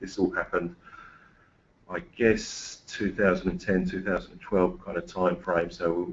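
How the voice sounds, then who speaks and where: The speaker talks fairly quickly with an English accent. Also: man. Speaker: engineering manager. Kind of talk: webinar presentation. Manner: halting.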